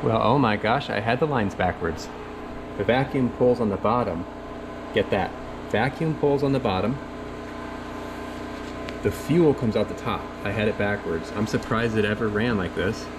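A man talks at a moderate pace with ordinary pitch variation. He pauses long and often, and background noise is noticeable. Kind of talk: casual vlog chat. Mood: puzzled then pleased. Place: workshop. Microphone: phone near.

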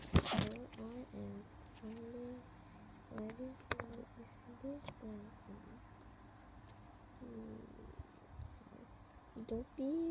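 A soft-spoken woman at a very slow pace, with long, frequent pauses. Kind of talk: casual toy unboxing talk to camera.

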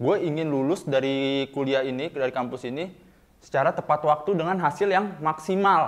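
A man with a fairly high pitch talks at a moderate pace, his pitch moving in an ordinary way. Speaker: student stand-up comedian. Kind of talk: stand-up comedy. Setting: stage with audience. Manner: animated, cheeky self-deprecating punchlines; catchphrase-heavy, playful, with audience call-outs. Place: studio.

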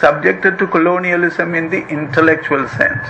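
A man's raised, projected voice at a moderate pace over noticeable background noise. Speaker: academic lecturer. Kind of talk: lecture. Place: hall. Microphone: podium.

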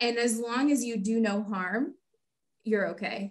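Speaking at a moderate pace with an American accent, a woman has a fairly high, somewhat breathy voice and fairly even intonation. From Texas, Houston. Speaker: veterinarian. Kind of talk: interview.

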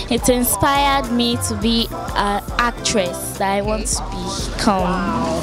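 A woman's voice at a very slow pace with hardly any pauses, dry sound with no echo, and clear music in the background. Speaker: audience member interviewed. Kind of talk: interview answer. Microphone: handheld.

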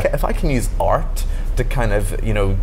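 With noticeable background noise behind him, a man speaks at a moderate pace. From Northern Ireland. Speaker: singer-songwriter. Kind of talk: interview answer. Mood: earnest, reflective. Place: bar. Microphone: lapel.

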